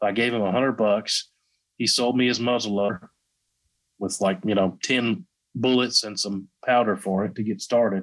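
A man with a Southern US accent speaks at a moderate pace and medium pitch, with ordinary pitch variation, on a very clean recording with a silent background. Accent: Southern US, country. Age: 30s. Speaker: YouTube gun channel creator. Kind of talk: casual interview chat.

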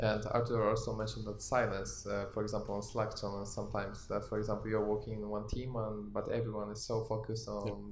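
A man's fairly low pitch with vocal fry and monotone, flat intonation, very fast pace and hardly any pauses. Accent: Polish. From Poland. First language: Polish. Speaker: podcast host, communication specialist. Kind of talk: panel discussion. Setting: live recording at company event.

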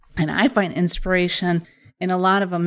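A woman with a Wisconsin accent speaks at a medium pitch in an enthusiastic tone. The recording is very clean, with a silent background. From Wisconsin, US. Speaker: social media marketing business owner and podcast host. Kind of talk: podcast introduction, solo monologue. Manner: friendly, conversational, enthusiastic.

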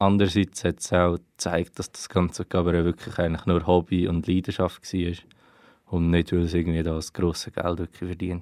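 The sound is dry and close with no echo. A man with a very deep, low pitch speaks at a moderate pace in a monotone, flat intonation. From Switzerland, Aargau (Wohlen). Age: 20s. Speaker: student researching family history. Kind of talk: interview.

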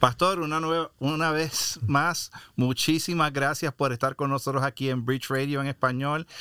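On a very clean recording with a silent background, a man with a bright, sharp tone speaks at a fairly slow pace. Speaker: radio host. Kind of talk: podcast hosting, interview.

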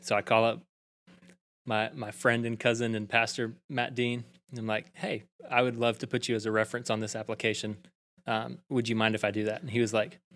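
With a Southern US accent, a man talks at medium pitch and a moderate pace, with fairly even intonation and long, frequent pauses. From Alabama (Prattville). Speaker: church youth ministry director. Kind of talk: casual interview.

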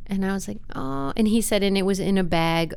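At a moderate pace, a woman with an American accent talks in an ordinary speaking voice at a fairly low pitch. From US Midwest, Wisconsin. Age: 40s. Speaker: university staff member and arts nonprofit worker. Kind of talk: casual interview conversation.

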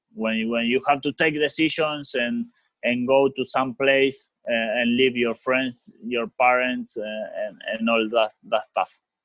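A man with an Argentine accent speaks at a fairly slow pace and medium pitch. His intonation is fairly even, and he hardly pauses. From Argentina (Rosario). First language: Spanish. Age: 30s. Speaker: professional footballer. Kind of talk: interview. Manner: halting.

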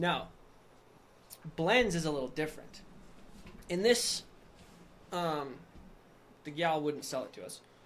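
Amid audible room echo, a man with an American accent and a fairly high pitch talks at a fairly slow pace with lively intonation, big swings in loudness, and long, frequent pauses. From Wyoming, US. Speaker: nutrition store owner. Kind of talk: casual chat.

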